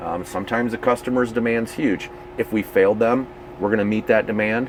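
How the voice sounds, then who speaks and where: A man at medium pitch with fairly even intonation and a fairly quick pace, over noticeable background noise. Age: 50s. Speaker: RV company division manager. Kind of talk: casual interview. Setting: owners rally event.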